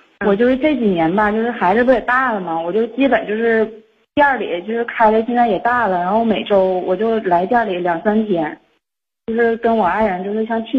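A woman talks at a fairly quick pace in a fairly high, somewhat breathy voice with ordinary pitch variation. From Liaoning, northeast China (Xinmin). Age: 30s. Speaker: caller seeking advice. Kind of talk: phone-in advice call. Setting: phone call. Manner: fast-talking.

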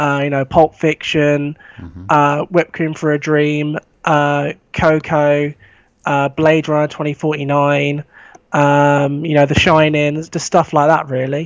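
A man with a southern English accent, very slow in pace, with monotone, flat intonation. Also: fairly high pitch for a man, dry, close sound with no echo. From England, East Sussex. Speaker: film fan. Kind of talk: casual chat. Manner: halting.

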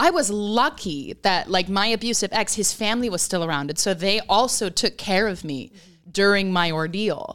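A woman with a plain, everyday voice talks at a medium pitch and a moderate pace, with lively intonation. The recording is very clean, with a silent background. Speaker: podcast host. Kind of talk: casual conversational interview.

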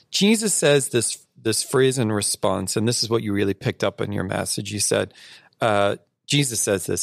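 Recorded dry and close with no echo, a man with an unremarkable speaking voice talks at a moderate pace with lively intonation. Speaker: podcast host and church discipleship director. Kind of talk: casual interview chat. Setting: studio.

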